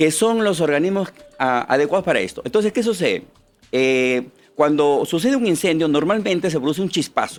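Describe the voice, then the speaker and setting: A man at a high pitch, with lively intonation and a fairly quick pace. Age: 60s. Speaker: political candidate and machine manufacturer. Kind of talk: interview.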